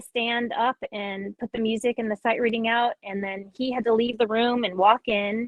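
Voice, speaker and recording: The speaker has a plain, everyday voice. Delivery comes at a moderate pace with fairly even intonation. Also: woman. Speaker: music educator and clinician. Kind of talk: online clinic presentation.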